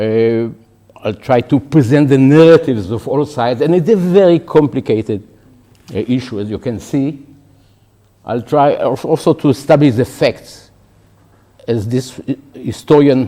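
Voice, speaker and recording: A man's medium-pitched voice, dark and mellow in tone, moves at a fairly slow pace with ordinary pitch variation. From Israel. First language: Hebrew. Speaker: professor. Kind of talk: lecture. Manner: halting, with false starts.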